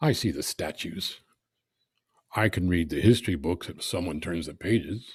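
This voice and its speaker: On a very clean recording with a silent background, a man with a very deep, low voice speaks at a moderate pace, somewhat breathy and with lively intonation, big swings in loudness, and long, frequent pauses. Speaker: poet. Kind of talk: poetry reading.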